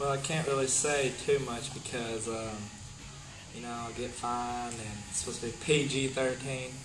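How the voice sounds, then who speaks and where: A man speaks at medium pitch and a moderate pace in a flat monotone, with noticeable background noise behind him. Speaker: pro wrestler, champion. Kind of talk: wrestling promo interview answer. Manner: brash, trash-talking.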